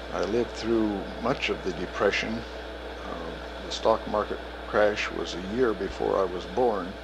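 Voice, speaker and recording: Over noticeable background noise, a man speaks with an American accent at a fairly low pitch. His pace is fairly slow and his intonation fairly even. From Kansas, US Midwest. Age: 60s. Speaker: retired professor. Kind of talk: oral history interview. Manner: hesitant, with many fillers.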